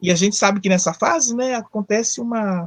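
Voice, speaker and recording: A woman's medium-pitched voice with lively intonation at a moderate pace, dry and close with no echo. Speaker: psychologist. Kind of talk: live talk on psychology. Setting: online live stream. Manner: conversational, with fillers and self-corrections.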